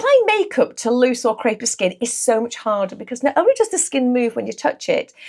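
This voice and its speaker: This woman's voice sits high and makes very wide pitch swings. She talks at a fairly quick pace. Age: 60s. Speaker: beauty therapist and makeup artist. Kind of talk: makeup tutorial.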